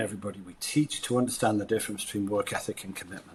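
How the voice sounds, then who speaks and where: A man with a British accent. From Britain. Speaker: leadership and sales coach. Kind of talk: interview conversation. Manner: animated.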